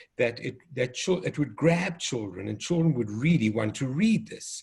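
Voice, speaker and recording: A man with a South African accent, medium pitch, a somewhat breathy quality and very wide pitch swings. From South Africa, Cape Town. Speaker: developmental pediatrician and children's author. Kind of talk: educational conversation.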